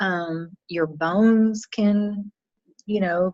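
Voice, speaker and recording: In a Southern US accent, a woman speaks at a medium pitch with fairly even intonation, and the sound is dry and close with no echo. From US South. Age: 50s. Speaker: nutrition business owner. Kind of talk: interview.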